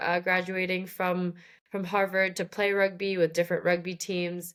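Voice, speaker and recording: A woman speaks with an American accent. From Shanghai, China (American school). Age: 20s. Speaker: rugby player. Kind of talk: podcast interview. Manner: hesitant, many fillers.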